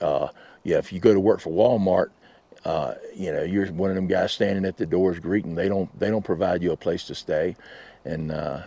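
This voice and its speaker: Speaking at a fairly quick pace, a man talks with a Southern US accent. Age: 60s. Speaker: RV vlogger and work camper. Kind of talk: casual vlog monologue. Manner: halting, many fillers.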